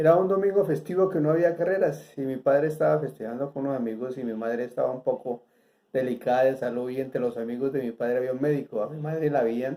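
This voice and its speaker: A man speaks at a very fast pace with a medium pitch, ordinary pitch variation and a dark, mellow tone. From Colombia, Bogotá. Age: 70s. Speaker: former horse racing insider. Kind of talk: interview answers, reminiscence.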